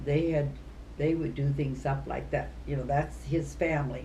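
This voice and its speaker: Someone with an American accent speaks at a very slow pace amid audible room echo. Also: woman. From US Midwest. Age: 80s+. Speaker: retired teacher. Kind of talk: casual chat.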